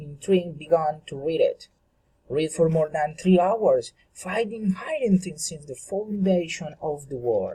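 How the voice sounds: A man speaks in a dark, mellow tone with a slightly husky edge.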